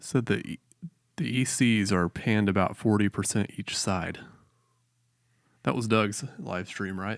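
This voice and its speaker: A man with a fairly low pitch speaks at a fairly slow pace, with ordinary pitch variation and long, frequent pauses. The recording is very clean and dry, close with no echo and a silent background. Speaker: live stream reviewer, church worship tech. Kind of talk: casual chat.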